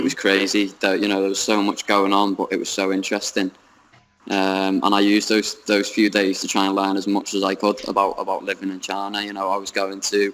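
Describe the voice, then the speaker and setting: A man with a British accent talks fairly quickly at a fairly low pitch, in a monotone, flat intonation. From United Kingdom. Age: young. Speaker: English teacher in China. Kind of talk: interview answer. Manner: hesitant, many fillers.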